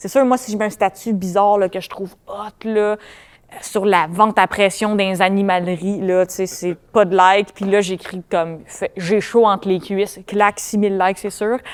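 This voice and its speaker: In a Quebec accent, a woman talks with monotone, flat intonation. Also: medium pitch for a woman. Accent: Quebec French, family. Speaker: comedian. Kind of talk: casual chat. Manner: fast.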